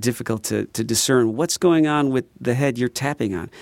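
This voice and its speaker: A man speaks with an American accent at a medium pitch and a moderate pace, with ordinary pitch variation. The sound is dry and close with no echo, on a very clean recording with a silent background. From Chicago, southeast side. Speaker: drummer and former drum shop owner. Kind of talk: casual interview chat. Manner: talkative, many fillers.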